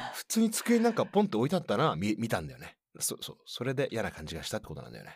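A man speaks at a very fast pace in an animated tone, with big swings in loudness. The recording is very clean, with a silent background. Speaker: podcast co-host. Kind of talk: casual chat.

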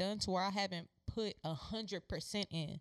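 A woman's unremarkable speaking voice at a medium pitch, with ordinary pitch variation, a moderate pace and a dry, close sound with no echo. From Houston, Texas. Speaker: podcast co-host, former athlete. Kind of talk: casual chat.

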